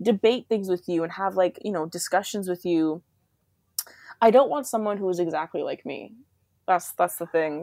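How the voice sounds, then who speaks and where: A woman with a Canadian accent speaks at a moderate pace and medium pitch, her dark, mellow voice showing ordinary pitch variation and long, frequent pauses in a dry, close sound with no echo. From Canada, Toronto. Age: 20s. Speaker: podcast guest. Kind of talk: casual chat.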